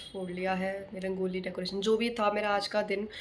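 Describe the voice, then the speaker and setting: At a moderate pace, a woman of medium pitch speaks in a monotone, flat intonation, with audible room echo and noticeable background noise. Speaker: vlogger. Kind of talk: casual vlog chat. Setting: outdoors, rooftop during Diwali.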